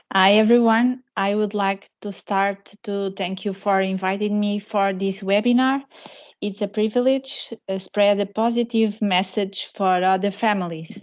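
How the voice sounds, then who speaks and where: At a fairly slow pace, a woman with a Portuguese accent talks at a medium pitch in a monotone, flat intonation. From Portugal. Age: 40s. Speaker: patient association president, parent. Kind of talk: webinar testimony.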